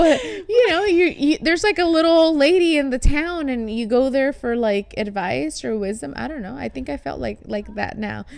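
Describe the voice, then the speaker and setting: With a Spanish accent, a woman speaks at a moderate pace with a high pitch and very wide pitch swings. Her loudness swings widely over noticeable background noise. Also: hardly any pauses. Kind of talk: casual chat.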